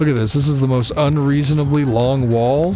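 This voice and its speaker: Music plays in the background as a man speaks at a fairly high pitch and a moderate pace. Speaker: gaming youtuber. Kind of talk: gameplay commentary. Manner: casual, conversational; occasional stutter.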